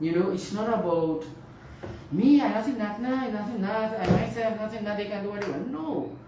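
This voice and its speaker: A woman's medium-pitched voice comes through audible room echo and noticeable background noise. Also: lively intonation, fairly quick pace. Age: 60s. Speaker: nurse. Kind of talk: radio interview. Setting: studio.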